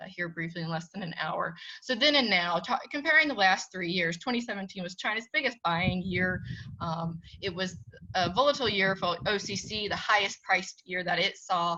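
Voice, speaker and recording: A woman speaks with lively intonation in a bright, sharp tone. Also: medium pitch for a woman. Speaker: commodity price reporter and editor. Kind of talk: webinar presentation. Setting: webinar. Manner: fast; animated.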